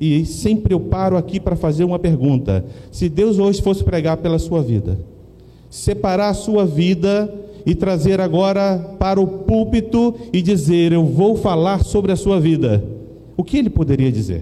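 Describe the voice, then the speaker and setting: Audible room echo surrounds a high-pitched man whose loudness stays very even and whose pitch variation is ordinary. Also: moderate pace. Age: 40s. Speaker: pastor. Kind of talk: sermon.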